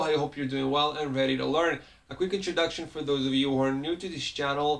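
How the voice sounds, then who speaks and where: With a non-native accent, a man talks very fast in a fairly high voice, keeping his intonation fairly even. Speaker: Hebrew teacher. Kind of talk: tutorial. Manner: halting, many fillers.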